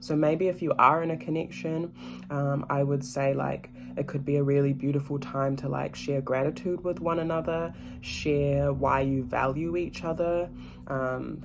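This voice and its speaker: At a moderate speed the speaker talks over music in the background. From Ghana. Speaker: tarot reader, spiritual mentor. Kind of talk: tarot reading monologue. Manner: casual, hesitant with fillers.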